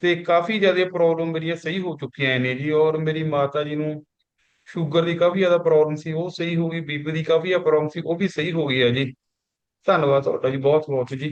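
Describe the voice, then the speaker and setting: A man with a fairly high pitch has an ordinary speaking voice, fairly even intonation, and a moderate pace. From Punjab, India (near Ludhiana). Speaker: customer giving testimonial. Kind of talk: testimony.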